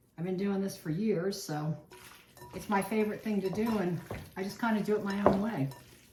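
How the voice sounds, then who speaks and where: Someone with an American accent talks fairly quickly with fairly even intonation, with noticeable background noise and audible room echo. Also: woman, medium pitch for a woman. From Virginia, Chesapeake Bay area. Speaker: home cook, cooking channel host. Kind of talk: cooking tutorial. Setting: home kitchen. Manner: casual, chatty.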